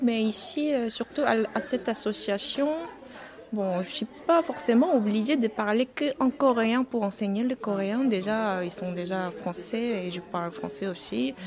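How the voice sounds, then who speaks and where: Over noticeable background noise, a woman with a Korean accent speaks at a fairly high pitch and a fairly slow pace with lively intonation. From South Korea. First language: Korean (speaking French). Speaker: Korean language teacher. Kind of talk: interview. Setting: on-site at a festival. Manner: halting.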